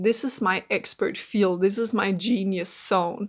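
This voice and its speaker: At a fairly slow pace, a woman with a Danish accent speaks with ordinary pitch variation. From Denmark. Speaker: mindset coach. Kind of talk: casual vlog monologue.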